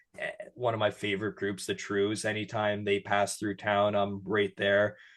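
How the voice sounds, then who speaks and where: In a Canadian accent, a man speaks at a fairly low pitch and a moderate pace. His intonation is monotone and flat. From Canada, Sudbury, Ontario. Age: 20s. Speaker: digital creator and interview host. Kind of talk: casual chat.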